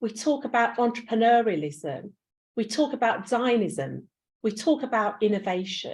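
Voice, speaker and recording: In a London accent, a woman speaks at a moderate pace with a fairly high pitch, lively intonation and some vocal fry. The recording is very clean, with a silent background. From East End of London. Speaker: university pro vice chancellor. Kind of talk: conference speech. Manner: animated.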